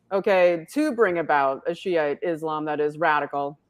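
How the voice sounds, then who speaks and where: With an American accent, a woman speaks in an unremarkable speaking voice at a moderate pace and with ordinary pitch variation. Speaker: online talk show host. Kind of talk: interview.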